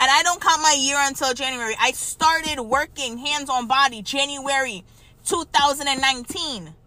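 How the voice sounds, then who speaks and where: In a raised, projected voice, a woman speaks at a high pitch and fairly slow pace, her tone bright, sharp and animated. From Trinidad and Tobago. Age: 30s. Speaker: massage therapist and podcast host. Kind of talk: solo podcast monologue.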